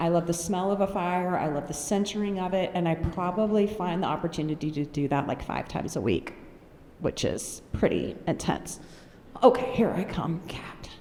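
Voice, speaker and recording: In an American accent, a woman speaks at a fairly low pitch with ordinary pitch variation. Room echo is audible. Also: moderate pace. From North Carolina, US. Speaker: mental health speaker. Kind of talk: conference talk. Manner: energetic, animated.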